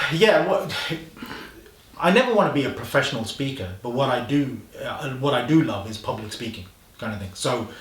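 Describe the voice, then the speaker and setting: A man at medium pitch with lively intonation and big swings in loudness, a fairly quick pace broken by long, frequent pauses, noticeable background noise and audible room echo. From Coventry, English Midlands. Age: 40s. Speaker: social media specialist. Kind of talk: casual interview chat.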